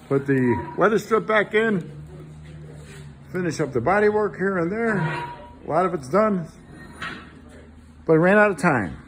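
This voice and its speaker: A man talks at a moderate pace in a high pitch with lively intonation, over noticeable background noise. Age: 60s. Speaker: car restorer. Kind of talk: casual chat.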